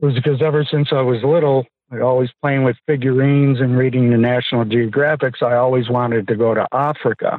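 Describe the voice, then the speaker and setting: Hardly any pauses interrupt this man's very fast speech, which has an American accent, a medium pitch, and monotone, flat intonation. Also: very even loudness. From US East Coast. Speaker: reality TV contestant. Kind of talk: casual interview.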